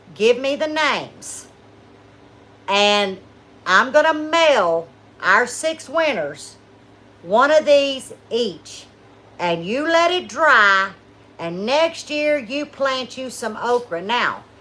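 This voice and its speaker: In a high pitch, a woman speaks very slowly with long, frequent pauses. Her tone is bright and sharp, and her pitch swings very widely. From South Louisiana. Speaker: homesteading channel host. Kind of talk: casual livestream chat. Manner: animated.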